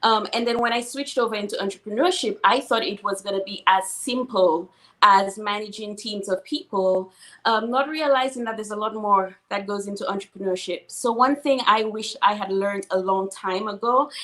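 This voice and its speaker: In a Saint Lucian accent, the speaker sounds animated, moving at a moderate pace with ordinary pitch variation. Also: woman. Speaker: financial services entrepreneur. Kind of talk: interview.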